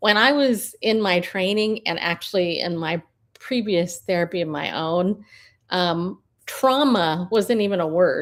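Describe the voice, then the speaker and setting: With ordinary pitch variation, a normal speaking voice moves at a fairly slow pace. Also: woman, medium pitch for a woman. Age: 50s. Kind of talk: live stream commentary. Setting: live stream. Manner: casual, with frequent fillers.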